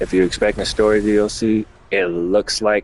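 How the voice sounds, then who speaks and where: A man talks in a relaxed tone with monotone, flat intonation. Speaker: gaming streamer. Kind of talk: live gameplay stream chat. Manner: casual, relaxed.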